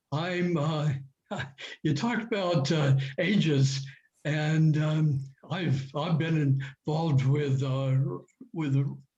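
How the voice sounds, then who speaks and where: A man speaks at a very slow pace in a fairly high pitch with ordinary pitch variation. Long, frequent pauses and audible room echo fill the clip. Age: 80s+. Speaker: club member attendee. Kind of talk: audience comment. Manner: halting.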